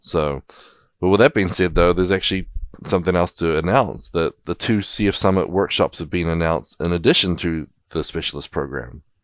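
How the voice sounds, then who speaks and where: A man with a very deep, low pitch talks at a fairly quick pace with ordinary pitch variation. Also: dry, close sound with no echo. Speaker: podcast co-host. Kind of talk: casual news podcast chat.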